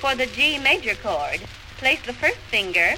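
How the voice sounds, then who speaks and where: Background noise is noticeable throughout. The delivery is neither fast nor slow. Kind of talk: vintage instructional record lesson. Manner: formal, clear, measured, teacherly; brisk step-by-step commands with pauses to follow along.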